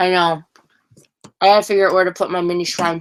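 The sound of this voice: A woman speaks at a fairly quick pace. Her pitch is fairly low and her tone fairly bright.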